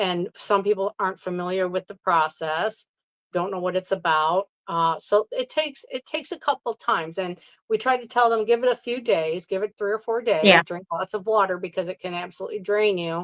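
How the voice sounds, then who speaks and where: A woman talks at a fairly quick pace in an ordinary speaking voice, medium in pitch with ordinary pitch variation. The sound is dry and close, without echo. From New York State. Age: 60s. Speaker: Reiki practitioner. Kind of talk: interview answer.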